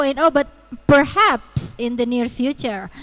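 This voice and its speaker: At a moderate speed, the delivery shows ordinary pitch variation. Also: woman. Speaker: university lecturer. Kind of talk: online seminar lecture. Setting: video call. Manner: halting.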